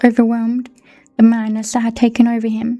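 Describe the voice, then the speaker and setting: A woman talks with a British accent. Her pitch is high. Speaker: book reader. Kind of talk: reading aloud.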